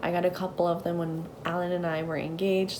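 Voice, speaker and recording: A woman with a fairly low pitch speaks over noticeable background noise, with audible room echo. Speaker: lifestyle vlogger. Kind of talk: casual vlog talk.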